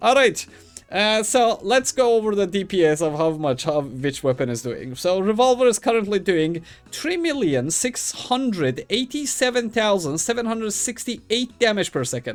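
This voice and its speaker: A man talks at a moderate pace in a high voice with very wide pitch swings. Music plays in the background. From Middle East. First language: Persian. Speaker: gaming YouTuber. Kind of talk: gameplay tutorial. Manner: casual, halting with fillers.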